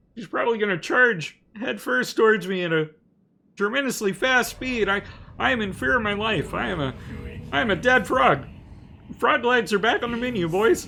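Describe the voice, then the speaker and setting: A man uses a put-on character voice, pitched high. He leaves long, frequent pauses. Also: moderate pace. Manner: nervous, jokey.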